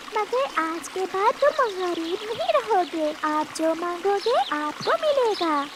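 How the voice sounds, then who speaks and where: A woman in a cartoonish character voice speaks at a very slow pace and an extremely high pitch over loud background noise. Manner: soft, caring.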